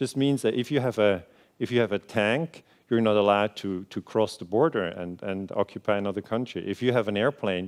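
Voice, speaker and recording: A man talks at a fairly quick pace. His fairly low voice shows ordinary pitch variation. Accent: Swiss German. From Switzerland. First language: Swiss German. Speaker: historian. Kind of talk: lecture. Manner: hesitant, many fillers.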